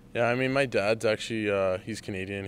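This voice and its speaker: At a very fast pace, a man talks with an American accent. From California, San Diego area. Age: 20s. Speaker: junior hockey player. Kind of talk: interview. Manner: hesitant, many fillers.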